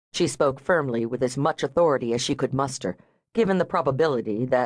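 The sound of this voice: The background is quiet. The delivery is an unforced reading voice.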